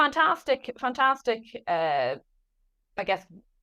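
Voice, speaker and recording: A woman speaks very slowly, her pitch swinging very widely. Her tone is bright and sharp. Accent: Irish. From Ireland, Dublin. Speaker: author and business founder. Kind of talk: podcast interview.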